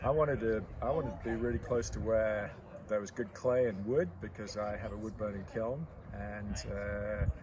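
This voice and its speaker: A man's fairly low voice at a moderate pace, ordinary pitch variation, and audible room echo. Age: 60s. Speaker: potter. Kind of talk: interview.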